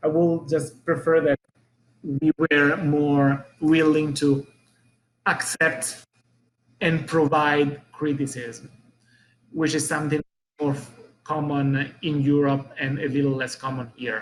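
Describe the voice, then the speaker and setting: Speaking at a very slow pace with long, frequent pauses, a man uses an Italian accent. His fairly high voice stays monotone, with flat intonation. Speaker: business owner. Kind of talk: interview. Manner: halting.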